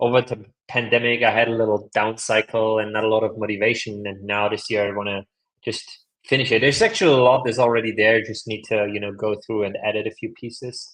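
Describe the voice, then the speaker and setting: A man with a non-native accent speaks at a very fast pace with monotone, flat intonation. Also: medium pitch for a man. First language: not English. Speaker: leadership coach and author. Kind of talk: podcast interview. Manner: casual, filler-heavy speech.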